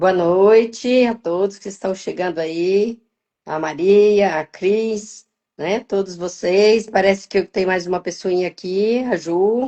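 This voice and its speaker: Very slow speech from a woman at a medium pitch, her intonation fairly even. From Minas Gerais, Brazil. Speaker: wellbeing mentor and financial educator. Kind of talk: casual live-stream chat.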